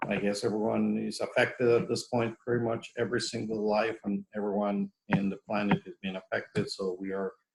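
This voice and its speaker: A man with a Mexican accent. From Mexico. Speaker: professor. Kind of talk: lecture. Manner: halting, many fillers and repetitions.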